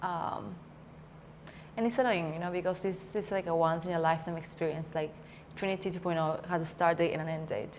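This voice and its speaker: A woman's fairly low voice in a Spanish accent, fairly quick, with fairly even intonation. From Peru. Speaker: coaching student. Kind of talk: interview. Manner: halting.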